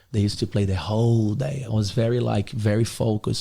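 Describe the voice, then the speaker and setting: With a Brazilian accent, a man talks at a very fast pace in a dark, mellow, somewhat breathy tone. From Brazil, Rio de Janeiro. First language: Portuguese. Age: 20s. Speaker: podcast guest, motivational figure. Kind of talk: casual interview chat. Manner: animated.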